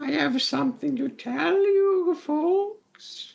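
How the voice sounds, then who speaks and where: A female-sounding put-on character voice, high in pitch, at a very slow pace. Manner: put-on, mocking.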